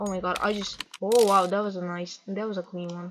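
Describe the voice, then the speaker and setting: A woman with a non-native accent, at a fairly slow pace. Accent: non-native English accent, self-described. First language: not English. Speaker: gaming vlogger. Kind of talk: casual rant over gameplay. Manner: halting, self-correcting.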